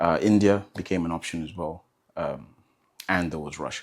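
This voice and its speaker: At a fairly quick pace, a man speaks with a very deep, low pitch and ordinary pitch variation. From Zambia. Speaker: medical student, interview guest. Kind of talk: casual interview. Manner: hesitant, filler-heavy.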